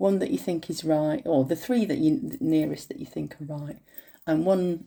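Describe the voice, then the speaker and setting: Her pitch is very deep and low, swinging very widely. The woman keeps a moderate pace. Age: 50s. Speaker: beauty vlogger. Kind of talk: makeup tutorial. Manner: casual, chatty with fillers.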